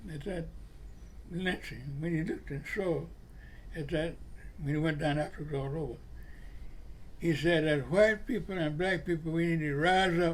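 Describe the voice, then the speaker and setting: In a Florida accent, a man speaks at a moderate pace with a fairly high voice. Long pauses come often. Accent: Southern US (Florida). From Jacksonville, Florida. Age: 80s+. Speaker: civil rights leader, Navy veteran, retired postal worker. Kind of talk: interview answer, personal storytelling.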